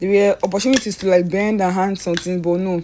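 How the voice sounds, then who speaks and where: The woman's tone is dark and mellow. Her pitch is medium and her intonation fairly even. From Nigeria. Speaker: painter. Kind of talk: tutorial. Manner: casual, halting with self-corrections.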